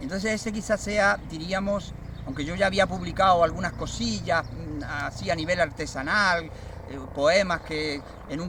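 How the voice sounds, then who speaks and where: The speech comes at a fairly slow pace with ordinary pitch variation, over noticeable background noise. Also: man. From Andalusia, Cádiz province (Barbate). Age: 60s. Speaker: poet. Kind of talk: interview testimony. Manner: hesitant, many fillers.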